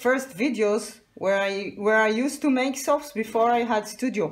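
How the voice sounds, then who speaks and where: A woman speaks with an Israeli accent. Her pace is fairly slow. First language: Hebrew. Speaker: soapmaker. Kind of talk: tutorial. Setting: home workshop, partly on a balcony.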